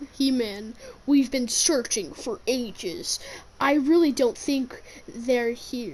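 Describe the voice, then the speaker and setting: Using a put-on character voice, a woman speaks at a high pitch and a very slow pace with lively intonation. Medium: read story.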